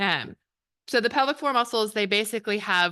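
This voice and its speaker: Loud and bright with a sharp tone, a woman's fairly high voice shows ordinary pitch variation over a quiet background. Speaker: pelvic floor physical therapist. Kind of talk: health talk to audience. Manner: fast.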